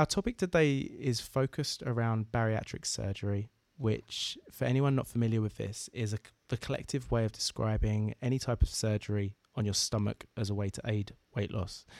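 On a very clean recording with a silent background and a dry, close sound with no echo, a man with an Essex accent speaks at a medium pitch and a moderate pace, with ordinary pitch variation. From southeast England. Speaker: podcast host. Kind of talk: interview.

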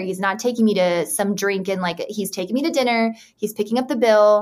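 A woman talks at a fairly quick pace with an American accent. Her fairly high pitch moves in an ordinary way, a normal speaking voice. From Utah. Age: 30s. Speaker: podcast guest. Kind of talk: casual chat.

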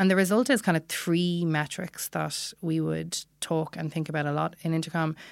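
A woman in a Dublin accent, fairly low in pitch, with fairly even intonation, a moderate pace and hardly any pauses, on a very clean recording with a silent background. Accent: Irish (Dublin). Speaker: product analytics manager. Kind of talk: interview. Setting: studio.

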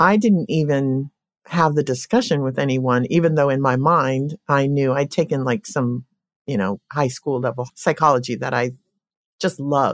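On a very clean recording with a silent background and a dry, close sound with no echo, a woman speaks at a very deep, low pitch with ordinary pitch variation. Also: moderate pace. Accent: American. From Colorado. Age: 60s. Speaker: therapist. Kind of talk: interview conversation.

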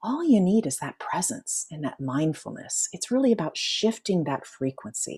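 A woman speaks with a dark, mellow tone that is somewhat breathy, her pitch swinging very widely. The recording is very clean, with a silent background. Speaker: life coach and author. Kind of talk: interview. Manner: slows and lowers voice when guiding relaxation.

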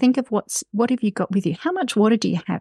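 A woman with an Australian accent speaks at a fairly high pitch, with lively intonation and a dark, mellow, somewhat breathy tone. The sound is dry and close with no echo, over a quiet background. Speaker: outdoor writer and mountain rescue volunteer. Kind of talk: interview.

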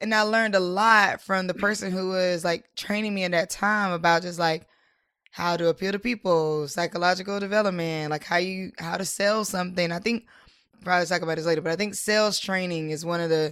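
An unremarkable speaking voice belongs to a woman with an American accent. She has a medium pitch and a fairly quick pace. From US South, Durham, North Carolina. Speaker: entrepreneur, nonprofit founder. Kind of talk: interview.

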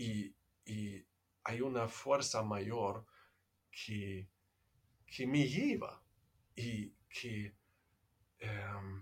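Somewhat breathy, a man speaks with a German accent. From Germany. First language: German (speaking Spanish). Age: 50s. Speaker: meditation teacher. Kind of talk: casual chat. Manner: halting.

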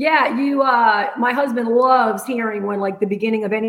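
With a Rhode Island accent, a woman talks at a fairly quick pace in a fairly high pitch, her intonation fairly even, over noticeable background noise. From US Northeast, Rhode Island. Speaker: entrepreneur. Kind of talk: interview. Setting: remote call.

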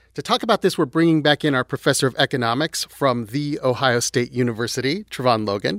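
This man has a plain, everyday voice of medium pitch, with lively intonation and a fairly quick pace. The recording is very clean with a silent background and a dry, close sound with no echo. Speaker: podcast host. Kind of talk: educational podcast narration. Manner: playful.

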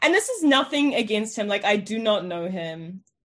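The speaker talks at a moderate pace. Their pitch swings very widely. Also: woman. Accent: New Zealand. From New Zealand, South Island. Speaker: journalist. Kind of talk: interview.

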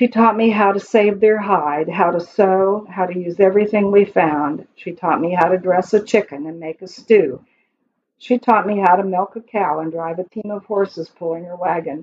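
At a moderate pace, a woman with an unremarkable speaking voice and an American accent talks at a medium pitch, with ordinary pitch variation and big swings in loudness. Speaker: poet. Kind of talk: reading aloud.

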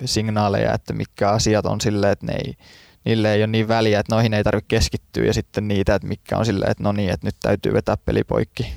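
In a very clean recording with a silent background, a voice with vocal fry speaks in a fairly even intonation. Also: man. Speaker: sprinter. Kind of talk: interview. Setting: studio. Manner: halting, many fillers.

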